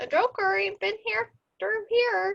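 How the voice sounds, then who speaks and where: A woman does a squeaky, put-on character voice at a fairly slow pace. The sound is dry and close, with no echo. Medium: read story.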